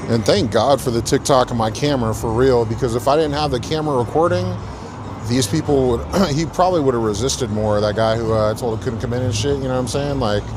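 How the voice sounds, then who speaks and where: Noticeable background noise and audible room echo surround a man speaking at a very fast pace. His voice sits at a medium pitch with ordinary pitch variation. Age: 30s. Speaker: bouncer livestreamer. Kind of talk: casual live stream chat.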